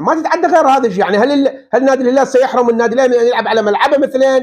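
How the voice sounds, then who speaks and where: Against a quiet background, a man talks at an extremely high pitch with ordinary pitch variation. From Iraq. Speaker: football pundit. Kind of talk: video commentary monologue. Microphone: lapel.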